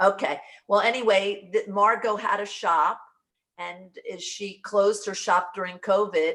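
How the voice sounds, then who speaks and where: In an ordinary speaking voice, the speaker goes at a fairly slow pace with fairly even intonation and big swings in loudness. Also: woman, medium pitch for a woman. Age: 60s. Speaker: brand partner in direct sales. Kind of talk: casual video call chat.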